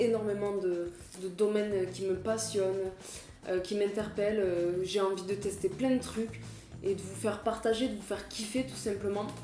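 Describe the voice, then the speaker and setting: Over noticeable background noise and audible room echo, a woman speaks with a southern French accent. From southern France. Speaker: YouTuber. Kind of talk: vlog introduction. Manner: casual, hesitant with fillers.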